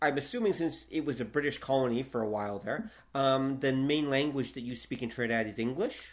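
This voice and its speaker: Delivered at a moderate pace, a normal speaking voice comes through. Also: man. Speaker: podcast host. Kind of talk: casual interview chat.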